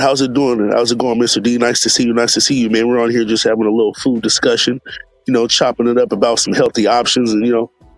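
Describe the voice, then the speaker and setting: Music plays in the background as a man speaks. His loudness is very even and his intonation monotone and flat. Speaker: food streamer. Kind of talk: casual live stream chat. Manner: relaxed, lots of fillers.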